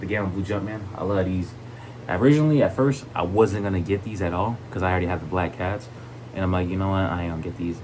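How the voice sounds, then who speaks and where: Very fast and enthusiastic, a man talks with a very deep, low pitch. Noticeable background noise and audible room echo surround him. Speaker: sneaker collector YouTuber. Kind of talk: casual video vlog, product showcase. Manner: stuttering a lot; enthusiastic, casual.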